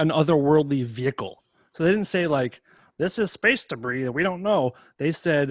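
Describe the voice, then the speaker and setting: With a normal speaking voice, a man talks at a moderate pace with lively intonation in a dry, close sound with no echo. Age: 40s. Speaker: musician. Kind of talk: casual chat. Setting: video call.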